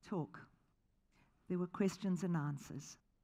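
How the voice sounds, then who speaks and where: This woman has a dark, mellow tone at a medium pitch, with ordinary pitch variation. She speaks with a slight South African accent. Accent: slight South African tinge. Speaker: charity founder. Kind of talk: keynote talk. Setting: stage with audience. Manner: animated.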